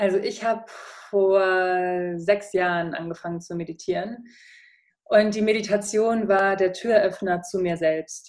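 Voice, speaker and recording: A woman with an unremarkable speaking voice talks fairly slowly, her medium-pitched delivery keeping fairly even intonation. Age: 30s. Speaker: podcaster and former radio presenter. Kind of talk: casual interview.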